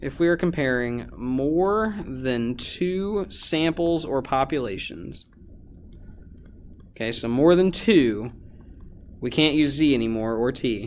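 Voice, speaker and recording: Amid audible room echo, a man with a fairly high pitch speaks at a very slow pace with lively intonation and long, frequent pauses. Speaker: high school teacher. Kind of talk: lecture. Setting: recorded video lesson. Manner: casual, many fillers.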